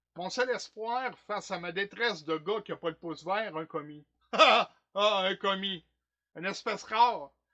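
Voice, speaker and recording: A man in a Quebec accent, high-pitched, at a fairly slow pace with ordinary pitch variation. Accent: Québécois French. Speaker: stage actor. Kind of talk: theatre monologue performance. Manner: comic, animated, colloquial.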